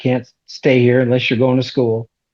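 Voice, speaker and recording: Flat and monotone, a man's medium-pitched voice comes through with a Californian accent. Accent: Californian American. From Southern California. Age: 70s. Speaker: custom vehicle builder. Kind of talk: interview.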